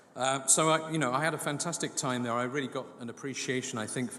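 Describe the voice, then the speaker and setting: A man with a British accent speaks very fast over noticeable background noise. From England, London. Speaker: business executive. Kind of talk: formal speech. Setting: awards event.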